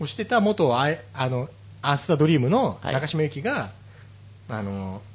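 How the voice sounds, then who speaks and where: Somewhat breathy, a man talks at a fairly quick pace. His fairly high pitch makes very wide swings. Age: 30s. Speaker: podcast host. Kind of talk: casual chat.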